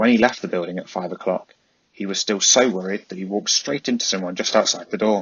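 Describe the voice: Plain reading aloud with ordinary pitch variation comes across over a quiet background.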